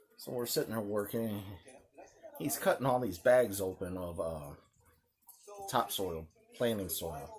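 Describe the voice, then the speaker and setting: Quiet and fairly slow, a man speaks with lively intonation and long, frequent pauses. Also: fairly low pitch for a man. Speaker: knife channel host. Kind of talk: casual vlog talk.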